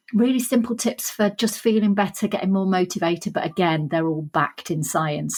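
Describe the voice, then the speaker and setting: Somewhat breathy, a woman with a Sheffield accent speaks at a moderate pace with ordinary pitch variation. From northern England, Sheffield. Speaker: author and leadership trainer. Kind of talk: podcast interview.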